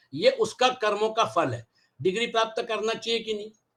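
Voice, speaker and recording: A man's bright, sharp tone with lively intonation, on a very clean recording with a silent background. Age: 70s. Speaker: Gita teacher. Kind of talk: lecture.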